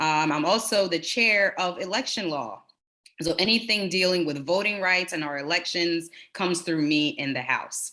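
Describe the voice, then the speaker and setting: In an American accent, a woman speaks with an ordinary speaking voice, fairly low pitch, ordinary pitch variation and a moderate pace. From Delaware, US, in a Jamaican family. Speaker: state legislator. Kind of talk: town hall speech.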